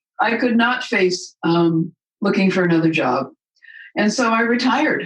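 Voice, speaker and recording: With lively intonation and very even loudness, a woman speaks at a moderate pace in a somewhat breathy voice. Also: medium pitch for a woman. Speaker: retired nurse and medical cannabis advocate. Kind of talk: interview conversation. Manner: halting.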